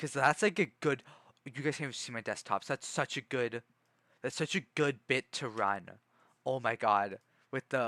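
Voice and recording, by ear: A passage is read aloud in a natural voice.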